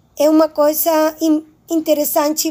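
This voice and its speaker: A woman with a Spanish accent and a dark, mellow tone speaks at a very slow pace. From Spanish-speaking country. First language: Spanish (speaking Portuguese). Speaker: Portuguese language student. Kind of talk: presentation.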